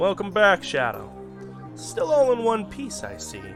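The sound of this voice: A man speaks in a gruff, put-on character voice at a fairly slow pace, with clear music in the background.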